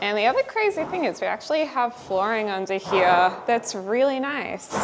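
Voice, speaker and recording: Over noticeable background noise, a woman talks at a moderate pace with a fairly high pitch and lively intonation. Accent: Australian. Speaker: lifestyle vlogger. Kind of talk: casual vlog talk to camera.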